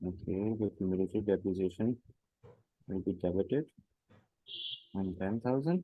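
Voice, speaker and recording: This man has a non-native accent and a fairly low pitch. He talks at a moderate pace with long, frequent pauses. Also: ordinary pitch variation. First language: not English. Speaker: job candidate, finance software consultant. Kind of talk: job interview. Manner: halting, many fillers.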